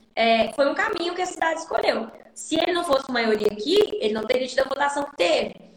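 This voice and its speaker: A high-pitched woman at a fairly quick pace with lively intonation, over noticeable background noise. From Brazil, Minas Gerais. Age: 20s. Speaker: city councillor. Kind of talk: interview. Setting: live stream.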